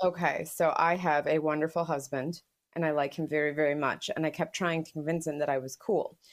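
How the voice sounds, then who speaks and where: Speaking at a fairly quick pace, a woman with a very deep, low pitch keeps a monotone, flat intonation on a very clean recording with a silent background. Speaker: podcast co-host and historian. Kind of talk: casual chat.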